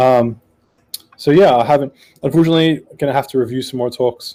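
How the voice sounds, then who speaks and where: A man with an Australian accent speaks at a medium pitch, his dark, mellow tone carried on fairly even intonation. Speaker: podcast panelist, software developer. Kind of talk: casual panel discussion. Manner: hesitant, many fillers.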